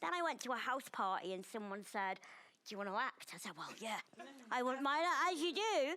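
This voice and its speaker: A woman with a northern English accent talks loudly and fairly quickly in a high, bright, sharp voice with very wide pitch swings. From northern England. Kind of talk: panel chat show discussion.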